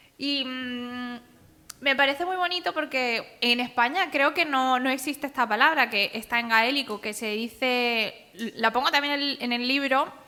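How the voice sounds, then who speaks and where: Her voice is raised and projected. The woman speaks at a high pitch. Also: ordinary pitch variation, fairly slow pace. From Andalusia, Spain. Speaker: author and cartoonist. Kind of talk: public talk.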